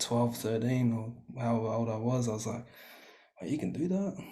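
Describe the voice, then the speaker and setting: A man's dark, mellow, somewhat breathy voice with fairly even intonation at a moderate pace amid audible room echo. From New Zealand, small hometown. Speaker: R&B singer. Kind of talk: casual chat.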